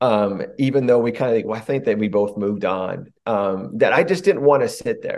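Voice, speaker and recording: A man with an American accent talks at a fairly quick pace in an unremarkable speaking voice. His pitch is medium, with ordinary variation. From rural United States. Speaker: pastor. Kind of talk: interview conversation.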